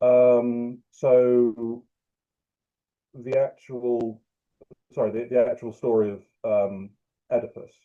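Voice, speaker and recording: In a British accent, a man speaks at a medium pitch with a dark, mellow tone and monotone, flat intonation. His pace is very slow, broken by long, frequent pauses. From UK. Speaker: writer. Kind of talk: interview answer.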